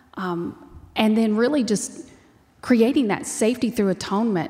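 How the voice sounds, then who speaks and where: Speaking at a fairly slow pace, a woman with an American accent has a fairly high, somewhat breathy voice. Her pitch variation is ordinary. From Texas. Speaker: ministry founder. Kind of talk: interview.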